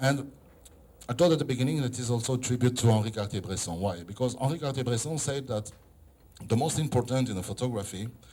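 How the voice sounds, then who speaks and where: A man with a non-native accent speaks fairly quickly in a medium-pitched, dark and mellow voice that is somewhat breathy, with ordinary pitch variation. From Israel. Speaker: photographer and philosopher. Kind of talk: exhibition opening speech. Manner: halting.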